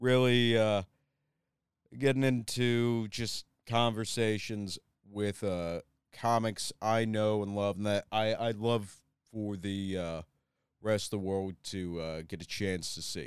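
A man with a plain, everyday voice and a fairly low pitch is heard in a dry, close sound with no echo, on a very clean recording with a silent background. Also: fairly even intonation. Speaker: podcast host. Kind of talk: episode intro monologue.

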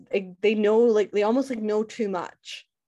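Her pitch fairly high, a woman speaks at a moderate pace. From Scotland. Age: 20s. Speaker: podcaster and education worker. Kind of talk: casual chat.

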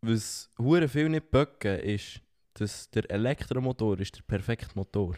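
On a very clean recording with a silent background and a dry, close sound with no echo, a man speaks fairly slowly in a dark, mellow, medium-pitched voice with lively intonation. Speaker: podcast co-host. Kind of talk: casual chat. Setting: sitting on a sofa.

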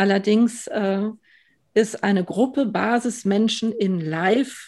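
In a very clean recording with a silent background, a woman speaks very slowly, her fairly high pitch showing ordinary variation. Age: 40s. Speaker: party board member. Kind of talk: podcast interview. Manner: hesitant with many fillers.

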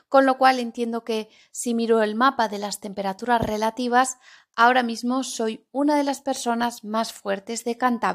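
The voice stays monotone and flat throughout. Behind it the background is silent, and the recording is very clean. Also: woman, fairly high pitch for a woman. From Spain, Zaragoza (Aragon). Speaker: Spanish teacher podcaster. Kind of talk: language-learning podcast monologue. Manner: clear, deliberate for learners.

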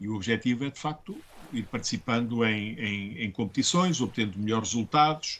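Loudness swings widely as a man talks fairly fast at a medium pitch with ordinary pitch variation. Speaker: schoolteacher. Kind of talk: interview. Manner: hesitant, many fillers.

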